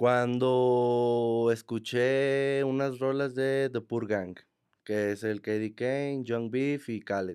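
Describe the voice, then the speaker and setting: Very slow speech from a man at medium pitch, with fairly even intonation. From Mexico, Monterrey. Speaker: trap artist. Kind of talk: casual chat. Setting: studio.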